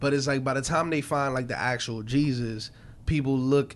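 A man with a New York accent speaks at medium pitch and a moderate pace, his intonation fairly even. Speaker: podcast host. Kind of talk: casual chat.

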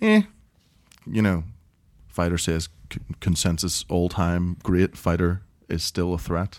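Speaking in a Northern Irish accent, the voice moves at a fairly slow pace with a monotone, flat intonation and long, frequent pauses. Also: man, very deep, low pitch for a man. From Northern Ireland. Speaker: MMA podcast host. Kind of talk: casual banter.

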